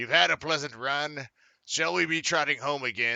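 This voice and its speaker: A man puts on a raspy character voice with a fairly high pitch. He speaks at a moderate pace. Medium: read story. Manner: curt.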